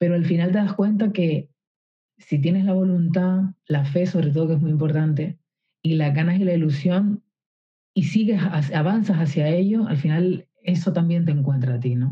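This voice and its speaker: This woman's voice is somewhat breathy and fairly low in pitch, with ordinary pitch variation. Her loudness stays very even. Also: moderate pace. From Canary Islands, Spain. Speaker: singer-songwriter. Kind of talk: interview conversation. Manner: hesitant, with many fillers and repetitions.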